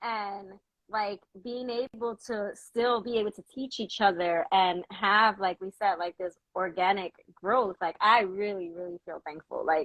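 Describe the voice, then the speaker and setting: Speaking in an ordinary speaking voice with an American accent, a woman talks at a fairly slow pace and medium pitch, with ordinary pitch variation and big swings in loudness. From New York. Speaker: podcast host. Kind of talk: casual chat.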